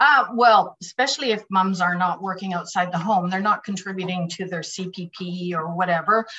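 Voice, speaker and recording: With hardly any pauses, a woman with a Canadian accent speaks at a moderate pace and medium pitch, her pitch varying in an ordinary way over noticeable background noise. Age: 50s. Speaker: direct sales director. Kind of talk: interview.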